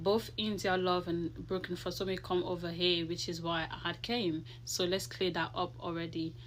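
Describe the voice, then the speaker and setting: A woman's fairly low voice with vocal fry, at a moderate pace. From Ivory Coast, then London from age fifteen. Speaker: social media commenter, hairdresser. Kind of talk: personal video statement. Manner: halting.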